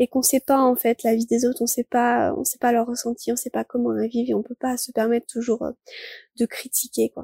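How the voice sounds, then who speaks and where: A woman speaks in a high pitch at a fairly quick pace. Her tone is dark and mellow, her intonation fairly even. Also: dry, close sound with no echo. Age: 20s. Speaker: student living with chronic illness. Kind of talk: personal testimony.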